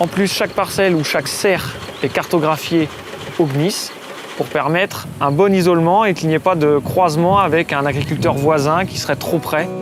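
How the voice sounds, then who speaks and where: Over noticeable background noise, a man with a fairly high voice speaks with long, frequent pauses. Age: 30s. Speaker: farmer. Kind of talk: interview testimony. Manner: hesitant, frequent fillers.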